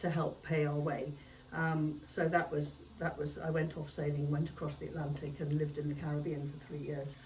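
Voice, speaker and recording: A woman with a very deep, low pitch talks at a fairly quick pace in a monotone, flat intonation. Audible room echo surrounds her voice. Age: 70s. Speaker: artist. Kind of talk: podcast interview. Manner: hesitant, many fillers.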